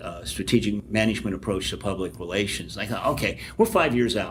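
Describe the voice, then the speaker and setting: His is an unremarkable speaking voice, fairly low in pitch, with ordinary pitch variation. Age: 60s. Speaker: public relations professor. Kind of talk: podcast interview.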